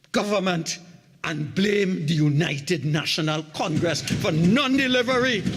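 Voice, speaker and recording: A man with a Trinidadian accent speaks fairly slowly in a high pitch, with lively intonation. Audible room echo and noticeable background noise surround his voice. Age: 70s. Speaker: opposition member of parliament. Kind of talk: parliamentary budget debate speech. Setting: parliament chamber.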